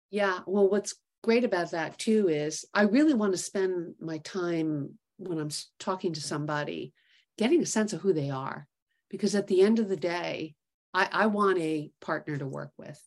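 With a plain, everyday voice, a woman speaks at a medium pitch and moderate pace, with ordinary pitch variation and big swings in loudness. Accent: American. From New York City. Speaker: investment executive, startup co-founder. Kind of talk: interview.

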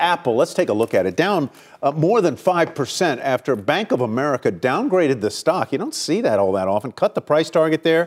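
Vocal fry runs through very wide pitch swings with hardly any pauses, on a very clean recording over a silent background. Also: man. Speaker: TV business news anchor. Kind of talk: live TV interview. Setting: TV studio.

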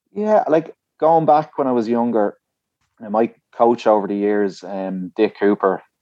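The speaker, in an Irish accent, goes at a fairly slow pace with ordinary pitch variation and big swings in loudness. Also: man, medium pitch for a man. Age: 30s. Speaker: distance runner. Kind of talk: interview.

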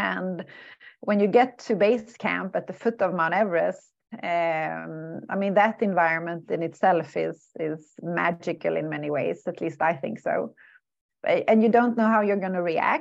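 A woman's fairly low voice with vocal fry, moderate pace and ordinary pitch variation over a quiet background. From southern Sweden. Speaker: mountain climber and adventurer. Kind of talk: interview.

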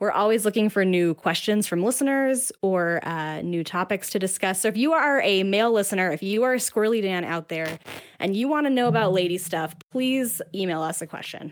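With an American accent, a woman in a plain, everyday voice speaks at medium pitch and a fairly quick pace, with lively intonation and hardly any pauses. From Salt Lake City, US. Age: 30s. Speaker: podcast co-host guest. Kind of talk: casual chat.

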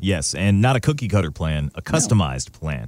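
A man speaks at a moderate pace. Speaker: podcast and radio show host. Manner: polished, professional broadcaster delivery.

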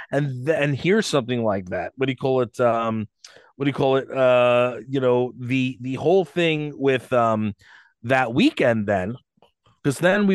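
In a normal speaking voice, a man talks at a moderate pace with medium pitch and ordinary pitch variation, over a quiet background, the sound dry and close with no echo. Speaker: podcast co-host. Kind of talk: casual chat. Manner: loud, talkative.

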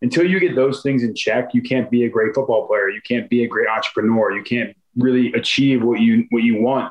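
Talking at a fairly quick pace with an American accent, a man has a normal speaking voice and ordinary pitch variation. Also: medium pitch for a man. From Philadelphia suburbs, US. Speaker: NFL offensive lineman. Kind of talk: interview.

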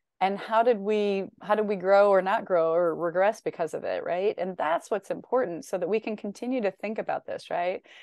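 In an ordinary speaking voice with an American accent, a woman talks at a fairly quick pace with hardly any pauses, her medium pitch showing ordinary variation, in a dry, close sound with no echo and a quiet background. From US Midwest, Northern Illinois. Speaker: educator and education consultant. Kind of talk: casual interview conversation.

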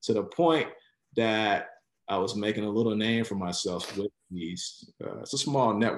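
A man with an American accent speaks at a moderate pace in an unremarkable speaking voice with ordinary pitch variation. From Chicago, west side. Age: 40s. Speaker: former healthcare executive. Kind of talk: interview.

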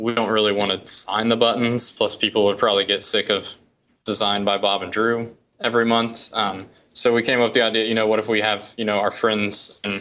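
Speaking fairly quickly with an American accent, a man keeps a fairly low pitch and a monotone, flat intonation. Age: 30s. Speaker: lettering artist and art director. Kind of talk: casual interview.

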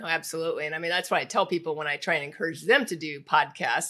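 A woman with an American accent, fairly low in pitch, with a bright, sharp tone. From US Midwest, Indianapolis. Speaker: podcast host. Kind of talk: interview.

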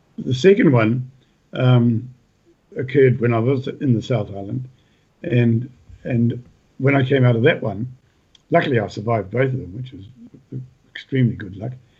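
Somewhat breathy, a man with a New Zealand accent talks fairly quickly at medium pitch with ordinary pitch variation and long, frequent pauses. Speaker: retired farmer and author. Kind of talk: casual interview.

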